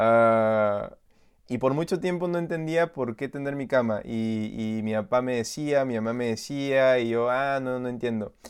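A man with a Peruvian accent speaks at a fairly slow pace and medium pitch. His pitch varies in an ordinary way over a quiet background. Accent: Peruvian Spanish (Lima). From Lima, Peru. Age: 20s. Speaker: youth pastor. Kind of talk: casual interview chat.

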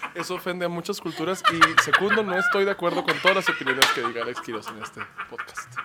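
Through noticeable background noise, a man talks at a very fast pace with big swings in loudness. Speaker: comedian. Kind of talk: casual chat. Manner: animated.

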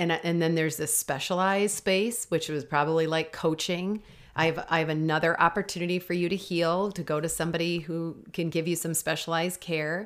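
A woman with a fairly low pitch and an ordinary speaking voice talks at a fairly quick pace with hardly any pauses and fairly even intonation, in a very clean recording with a silent background. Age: 40s. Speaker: life coach and podcast host. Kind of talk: casual faith chat.

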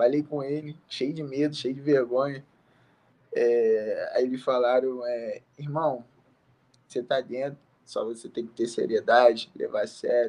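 A man speaks with an unremarkable speaking voice at a medium pitch. His pace is fairly slow and his intonation fairly even. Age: 20s. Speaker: MMA fighter. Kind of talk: interview. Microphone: bad connection.

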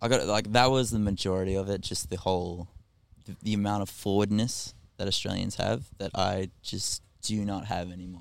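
A man's fairly low voice, fairly even in intonation, at a fairly quick pace. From Australia. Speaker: musician and electrician. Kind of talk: casual chat. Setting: on a ferry.

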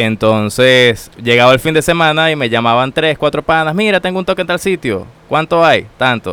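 With an unremarkable speaking voice, a man talks at a moderate pace in a fairly high pitch, using lively intonation and hardly any pauses. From Venezuela, Táchira (San Cristóbal). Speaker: systems engineer, immigrant. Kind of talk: casual interview. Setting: studio.

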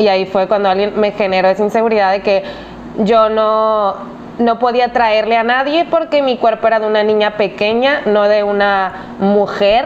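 Noticeable background noise behind a voice of ordinary pitch variation. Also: woman, fairly high pitch for a woman, moderate pace, very even loudness. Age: 20s. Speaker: podcast co-host. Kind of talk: casual chat.

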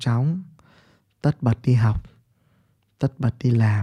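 Very slow and somewhat breathy, a man talks at a medium pitch with fairly even intonation and a dark, mellow tone, the sound dry and close with no echo. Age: 30s. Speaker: podcaster and business mentor. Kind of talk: monologue talk.

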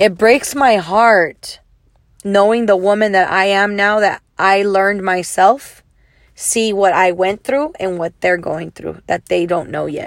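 A woman with an ordinary speaking voice talks at a fairly slow pace, medium in pitch with ordinary pitch variation. The recording is very clean, with a silent background. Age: 40s. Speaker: podcast host. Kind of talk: solo monologue podcast.

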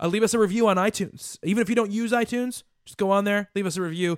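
A man's high voice at a very fast pace. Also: dry, close sound with no echo. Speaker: podcast host. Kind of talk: casual chat.

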